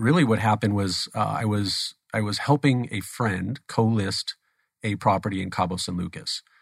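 An unremarkable speaking voice from a man, fairly low in pitch, with ordinary pitch variation and a dry, close sound with no echo. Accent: American. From Phoenix, Arizona. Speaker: stem cell therapy company CEO. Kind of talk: interview. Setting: studio.

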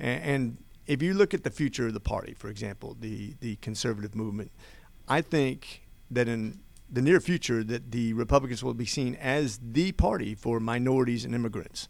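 In an American accent, the speaker has an unremarkable speaking voice, a fairly quick pace and ordinary pitch variation. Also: man, medium pitch for a man. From Oregon, US. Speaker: congressional candidate. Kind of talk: radio interview. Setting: studio.

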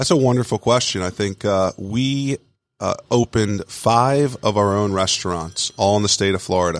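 A man with an American accent speaks in a normal speaking voice at a fairly low pitch. His pace is moderate, with ordinary pitch variation and a dry, close sound with no echo. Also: very clean recording, silent background. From Long Island, New York. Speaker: restaurant franchise CEO. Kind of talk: interview.

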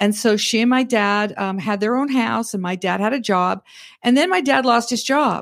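With a plain, everyday voice, a woman talks at a moderate pace with ordinary pitch variation. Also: fairly high pitch for a woman. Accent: Canadian. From Alberta, Canada. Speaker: financial advisor. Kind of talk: interview. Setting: studio.

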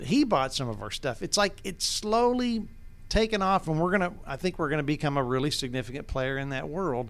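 Someone with an Appalachian Georgia accent talks at a fairly quick pace with very wide pitch swings. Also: man, fairly high pitch for a man, very clean recording, silent background. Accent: Southern US (Appalachian Georgia). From North Georgia, Towns County. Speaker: business owner, loudspeaker manufacturer. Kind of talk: casual interview, storytelling.

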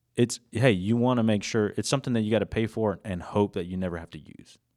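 Speaking with an American accent, a man has a normal speaking voice at a medium pitch and a moderate pace. The recording is very clean, with a silent background. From US South, Georgia (Gainesville). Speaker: insurance agent. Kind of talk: casual chat. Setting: studio.

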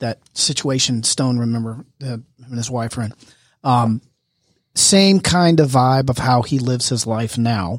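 A man speaks in an ordinary speaking voice at a medium pitch, with ordinary pitch variation and a fairly slow pace. The recording is very clean, with a silent background. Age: 50s. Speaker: real estate agent and co-host. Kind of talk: casual chat. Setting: studio.

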